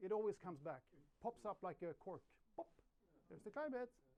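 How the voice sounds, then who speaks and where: A man with a Swedish accent. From Sweden. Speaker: journalist. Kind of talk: conference talk. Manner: halting, many repetitions.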